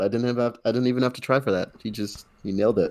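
A man has an unremarkable speaking voice at a medium pitch. His pitch varies in an ordinary way. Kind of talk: casual chat. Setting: video call.

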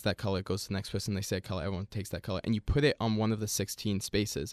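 A man speaks with a fairly low pitch and ordinary pitch variation. The recording is very clean and dry, close with no echo and a silent background. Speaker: student radio host. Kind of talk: casual banter.

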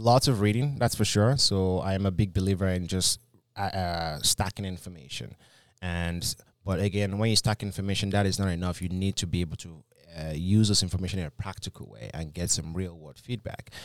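In a very clean recording with a silent background, the speaker talks at a fairly quick pace with ordinary pitch variation and a Nigerian accent. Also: man, very deep, low pitch for a man. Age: 20s. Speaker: business coach. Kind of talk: podcast interview. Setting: studio.

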